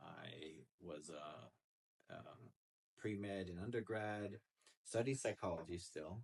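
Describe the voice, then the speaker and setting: A man talks at a very slow pace in a fairly low voice, somewhat breathy. His pitch rises and falls in an ordinary way. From United States, Romanian immigrant family. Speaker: psychologist, clinical director. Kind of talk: interview. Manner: casual, many fillers.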